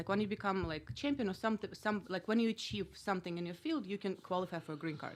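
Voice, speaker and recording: In a very clean recording with a silent background, a woman with a Russian accent speaks at a medium pitch with ordinary pitch variation. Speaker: comedian and former kickboxer. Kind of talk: casual chat. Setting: studio.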